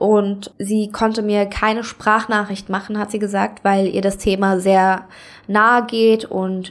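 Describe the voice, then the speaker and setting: A woman speaks at a very slow pace and medium pitch, her intonation monotone and flat. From Germany, Saarland. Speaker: podcast host. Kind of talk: solo monologue podcast.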